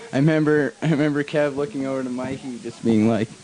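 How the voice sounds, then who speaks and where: With a Canadian accent, a man speaks at a moderate pace. His medium-pitched voice has fairly even intonation, and background noise is noticeable. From western Canada (Pender Harbour, British Columbia). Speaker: downhill skateboard racer. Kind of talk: post-race interview.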